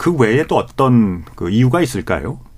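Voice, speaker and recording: A man talks at a fairly quick pace with lively intonation. Noticeable background noise runs underneath. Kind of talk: radio panel discussion moderation. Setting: radio studio.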